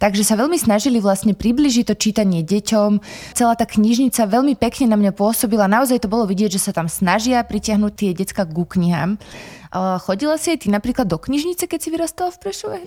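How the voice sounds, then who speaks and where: A woman talks very fast in a fairly high, somewhat breathy voice with a dark, mellow tone and lively intonation, the sound dry and close with no echo. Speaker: podcast host, library. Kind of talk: interview, conversational. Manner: formal, polite.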